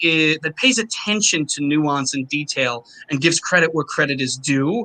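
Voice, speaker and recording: A fairly slow, lively delivery in a New York accent, bright and sharp in tone, with a dry, close sound and no echo. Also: man. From Long Island, New York. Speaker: opera singer. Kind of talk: interview conversation.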